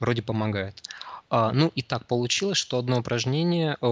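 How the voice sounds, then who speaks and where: This man's voice sits at a medium pitch and keeps a moderate pace. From Siberia, Krasnoyarsk. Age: 20s. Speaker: psychologist. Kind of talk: interview. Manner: halting, many fillers.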